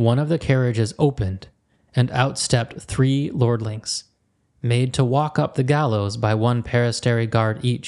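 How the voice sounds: A natural reading voice sounds out with quiet behind it.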